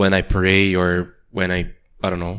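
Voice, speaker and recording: A man speaks with a Portuguese accent. The recording is very clean, with a silent background. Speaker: podcast co-host. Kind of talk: casual chat.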